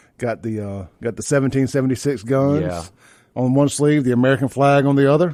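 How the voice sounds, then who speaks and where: A man speaks at medium pitch with a dark, mellow tone. His pace is fairly quick. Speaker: radio talk show host. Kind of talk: live talk radio monologue. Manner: casual, conversational, rambling.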